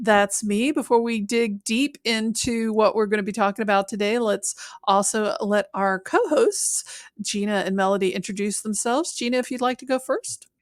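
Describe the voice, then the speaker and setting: A woman talks in a plain, everyday voice at a fairly high pitch. Her pitch variation is ordinary and her pace moderate. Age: middle-aged. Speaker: podcast co-host. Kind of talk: casual chat.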